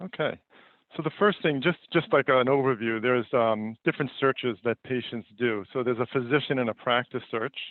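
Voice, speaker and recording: With a New York accent, a man speaks at a fairly quick pace and medium pitch. The pitch variation is ordinary. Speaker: company founder and CEO presenting a webinar. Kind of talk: webinar presentation. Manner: many fillers and repetitions.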